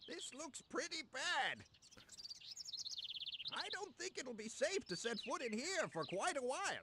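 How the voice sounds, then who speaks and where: A put-on character voice, pitched high, goes at a fairly slow pace. Long pauses come often. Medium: video game.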